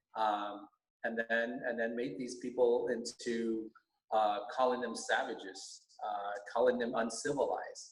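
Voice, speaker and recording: This man has a Californian accent and a fairly slow pace. His delivery is flat and monotone. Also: medium pitch for a man. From US West Coast, Alhambra, California. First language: Vietnamese. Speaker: teacher, school board candidate. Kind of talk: podcast interview. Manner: halting, many fillers.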